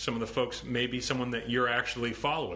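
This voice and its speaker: With an American accent and medium pitch, a man talks at a very fast pace, with audible room echo and noticeable background noise. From Ohio, US Midwest. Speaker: vegan activist and social media host. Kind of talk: live stream talk. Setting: Instagram live stream. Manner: mumbles sometimes; outspoken, many filler ums.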